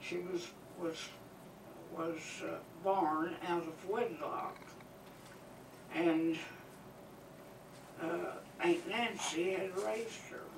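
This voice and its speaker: At a very slow pace with long, frequent pauses, a woman with an American accent speaks in a fairly low voice over noticeable background noise. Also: ordinary pitch variation. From Arkansas, USA. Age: 80s+. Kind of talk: public talk on local history. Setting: museum talk to live audience. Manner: hesitant, conversational.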